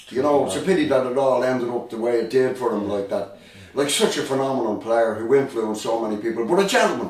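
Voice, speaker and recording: A man with a Dublin accent talks at a very fast pace and medium pitch with ordinary pitch variation, with audible room echo and noticeable background noise. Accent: Dublin Irish. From Ireland, Dublin. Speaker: rock drummer. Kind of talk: casual chat, reminiscing.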